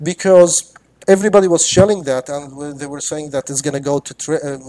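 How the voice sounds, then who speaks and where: A man with a non-native accent and a fairly high pitch. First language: not English. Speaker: crypto trader. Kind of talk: live stream talk. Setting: live video stream. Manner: halting, many fillers and repetitions.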